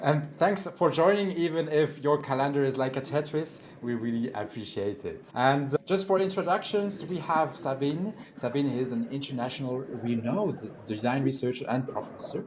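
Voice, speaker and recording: With a French accent and a fairly high pitch, a man speaks over noticeable background noise. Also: lively intonation, moderate pace, hardly any pauses. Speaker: event host and moderator. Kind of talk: event moderation and introductions.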